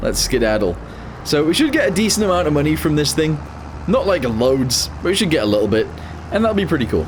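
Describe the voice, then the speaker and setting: A man's fairly high voice with very wide pitch swings, audible room echo and noticeable background noise. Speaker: gaming youtuber. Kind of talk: gameplay commentary.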